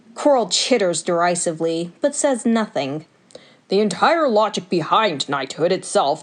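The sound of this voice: Lively intonation shapes an unforced reading voice.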